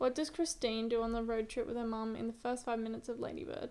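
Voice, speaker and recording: A woman with an ordinary speaking voice talks at a fairly quick pace, her fairly high pitch held in fairly even intonation. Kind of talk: casual chat. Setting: in bed at home.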